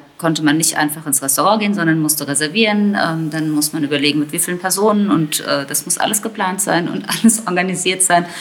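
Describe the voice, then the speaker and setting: A woman talks at a fairly quick pace in a fairly low pitch, with ordinary pitch variation. Noticeable background noise sits behind her. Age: 40s. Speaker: teacher and mother. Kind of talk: casual interview.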